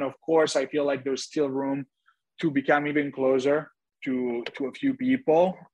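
This man's pitch sits fairly high for a man. His intonation stays fairly even. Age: 30s. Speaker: reality TV star. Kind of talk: casual interview. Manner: halting.

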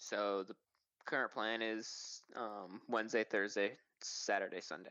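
An unremarkable speaking voice from a man, fairly low in pitch, fairly slow, with fairly even intonation. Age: 20s. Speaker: professional supercross rider. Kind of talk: interview. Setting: remote call.

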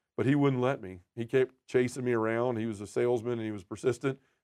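Talking at a very fast pace in a Southern US accent, a man with a dark, mellow tone keeps his intonation fairly even against a quiet background. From Memphis, Tennessee. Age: 40s. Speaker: podcaster and men's ministry leader. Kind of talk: testimony.

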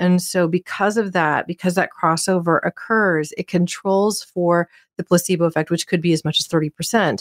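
A woman with a plain, everyday voice talks at a moderate pace with hardly any pauses, her fairly low pitch held in fairly even intonation, in a dry, close sound with no echo on a very clean recording with a silent background. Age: 40s. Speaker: podcast host. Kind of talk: interview.

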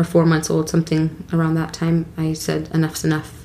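A woman talks at a fairly low pitch. Noticeable background noise is present. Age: 30s. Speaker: podcast guest, host's wife and mother. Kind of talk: personal testimony interview.

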